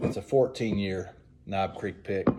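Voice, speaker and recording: A man speaks at a fairly slow pace in a Southern US accent. Noticeable background noise runs behind him. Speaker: whiskey reviewer. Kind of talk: casual tasting review. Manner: hesitant, many fillers.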